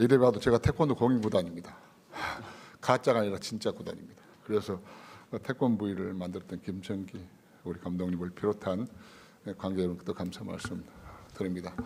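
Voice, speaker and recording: A man speaks at a fairly quick pace, broken by long, frequent pauses. His fairly low pitch varies in an ordinary way, while his loudness swings a lot. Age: 60s. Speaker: politician. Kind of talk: formal welcome speech. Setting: conference room at parliament.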